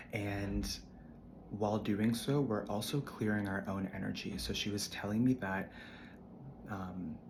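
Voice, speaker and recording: A man speaks at a fairly low pitch and fairly slow pace, with ordinary pitch variation. Long, frequent pauses break his speech, and room echo is audible. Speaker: spiritual content creator. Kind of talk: casual spiritual monologue.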